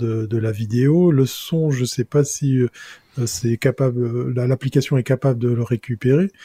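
Somewhat breathy and dark, mellow in tone, a man of medium pitch speaks at a fairly slow pace with fairly even intonation, in a dry, close sound with no echo. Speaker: tech columnist. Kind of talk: casual panel discussion.

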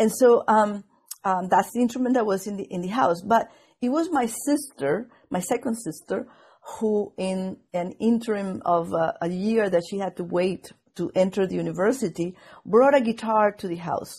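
The pace is moderate and the voice somewhat breathy, in a Venezuelan accent. Its intonation is lively. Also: woman, medium pitch for a woman. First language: Spanish. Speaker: viola da gamba player and scholar. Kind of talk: interview conversation. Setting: video call. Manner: hesitant, many fillers.

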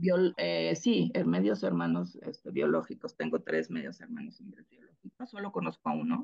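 A woman talks at a moderate pace with hardly any pauses. Her loudness swings widely. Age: 50s. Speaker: adoptee sharing her story. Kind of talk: personal testimony in interview. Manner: halting, many fillers.

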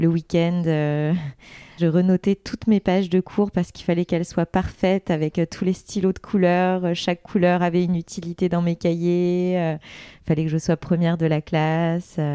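In a very clean recording with a silent background and a dry, close sound with no echo, a woman with a fairly low pitch and a dark, mellow tone speaks fairly slowly in a flat monotone, hardly pausing at all. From Paris region (Seine-Saint-Denis). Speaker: health coach and influencer. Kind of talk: casual interview chat. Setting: at home.

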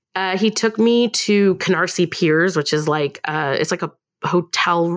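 A woman with a Californian accent speaks at a fairly low pitch with ordinary pitch variation. The recording is very clean, with a silent background. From Long Beach, California. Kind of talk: casual chat.

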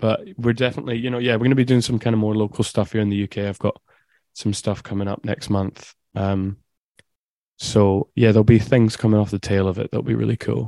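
A man with an Edinburgh accent talks at a fairly quick pace, his fairly low pitch giving a dark, mellow tone. His intonation is fairly even, and the sound is dry and close with no echo. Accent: Scottish (Edinburgh). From Scotland, Edinburgh. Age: 20s. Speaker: electronic music producer. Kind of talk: casual interview. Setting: video call.

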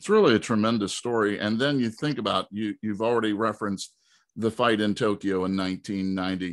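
Fairly quick, fairly even intonation and an unremarkable speaking voice from a man pitched fairly low. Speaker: podcast host. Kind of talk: interview.

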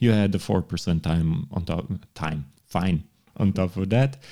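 With a Montenegrin accent, a man speaks in a very deep, low voice with a dark, mellow tone and ordinary pitch variation. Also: very clean recording, silent background. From Montenegro. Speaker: law professor. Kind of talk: casual chat.

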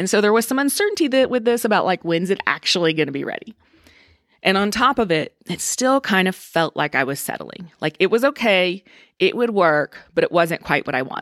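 A woman speaks at medium pitch and a fairly quick pace, her pitch swinging very widely. The recording is very clean with a silent background and a dry, close sound with no echo. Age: 40s. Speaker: leadership trainer and podcast host. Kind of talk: casual solo podcast monologue. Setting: home recording. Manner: animated.

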